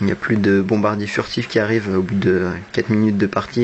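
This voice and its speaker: Over noticeable background noise, a man speaks at a fairly low pitch in a monotone, flat intonation. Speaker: gamer. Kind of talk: gameplay commentary. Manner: not very expressive.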